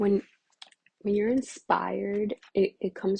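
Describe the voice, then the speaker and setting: A woman speaks at a fairly slow pace in a medium-pitched voice. Her tone is dark and mellow, and somewhat breathy. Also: dry, close sound with no echo. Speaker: tarot or oracle reader. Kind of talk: oracle reading monologue. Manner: casual, with many fillers.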